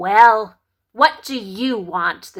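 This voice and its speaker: A woman's put-on character voice, fairly high and growling, with lively intonation. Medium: read story. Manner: rude, demanding.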